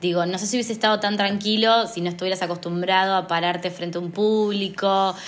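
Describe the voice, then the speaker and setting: With a Rioplatense accent, a woman speaks at a medium pitch and a very fast pace with monotone, flat intonation and hardly any pauses, amid noticeable background noise and audible room echo. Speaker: podcast host and poet. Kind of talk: casual conversation. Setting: recording at brother's house.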